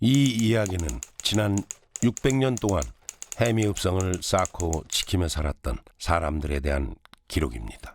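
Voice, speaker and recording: A man's very deep, low voice with very wide pitch swings, a fairly slow pace, and long, frequent pauses. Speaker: actor. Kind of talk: documentary narration.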